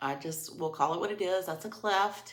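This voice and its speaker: A woman at a moderate pace, with ordinary pitch variation and audible room echo. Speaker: makeup seller and tutorial host. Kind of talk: makeup tutorial. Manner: casual.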